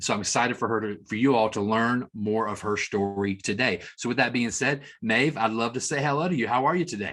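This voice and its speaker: With a Tennessee accent, an enthusiastic man speaks at a medium pitch and a fairly quick pace on a very clean recording with a silent background. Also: ordinary pitch variation, hardly any pauses. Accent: Southern US (Tennessee). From US South. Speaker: marketing executive, interview host. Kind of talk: interview.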